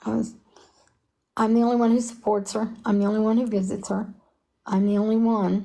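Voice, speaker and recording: A fairly high-pitched, somewhat breathy woman with a dark, mellow tone and monotone, flat intonation, at a moderate pace with long, frequent pauses, over a quiet background. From Kentucky, Harlan. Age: 70s. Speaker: mother of a convicted prisoner. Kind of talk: interview.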